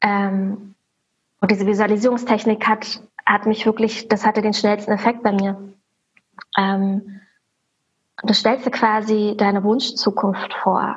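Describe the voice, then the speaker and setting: A woman with a fairly high, somewhat breathy voice speaks in a flat monotone at very even loudness, leaving long, frequent pauses. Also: fairly slow pace. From Germany, Berlin. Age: 30s. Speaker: religion teacher. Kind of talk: interview.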